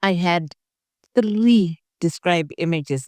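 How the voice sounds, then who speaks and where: In a very clean recording with a silent background and a dry, close sound with no echo, a woman with an African accent speaks in a fairly low voice with ordinary pitch variation. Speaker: test taker who scored top marks. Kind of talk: interview. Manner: halting.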